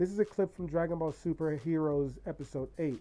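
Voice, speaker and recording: A man is talking with ordinary pitch variation. Behind him, music plays. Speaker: YouTuber and podcaster. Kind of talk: list commentary video. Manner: animated.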